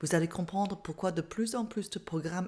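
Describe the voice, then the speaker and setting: A woman speaks with an English Canadian accent and ordinary pitch variation. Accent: English-speaking Canadian accent in French. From Canada. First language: English (speaking French). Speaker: mindfulness therapist and coach. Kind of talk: online masterclass talk.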